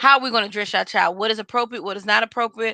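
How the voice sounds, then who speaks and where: In a Southern US accent, a woman speaks with a bright, sharp tone and fairly even intonation, her sound dry and close with no echo. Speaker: podcast co-host. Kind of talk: casual chat.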